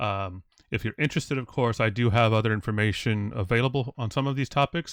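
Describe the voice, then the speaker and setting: At a fairly quick pace, a man with an American accent talks at medium pitch with ordinary pitch variation. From US Midwest. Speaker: DevOps consultant and course instructor. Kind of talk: recorded online course lecture. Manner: casual with many fillers and restarts.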